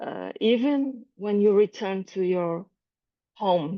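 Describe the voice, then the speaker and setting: A woman speaks with a Portuguese accent. Her pitch is medium. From Brazil. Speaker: calligraphy artist. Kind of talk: presentation. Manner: halting.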